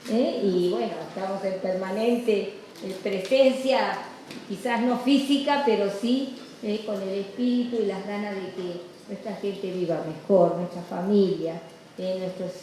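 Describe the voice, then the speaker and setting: Noticeable background noise and audible room echo surround a woman speaking at a fairly slow pace. Her medium pitch shows ordinary variation. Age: 80s+. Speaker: activist nun. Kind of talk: award acceptance speech. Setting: legislature hall with audience. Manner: halting, many fillers.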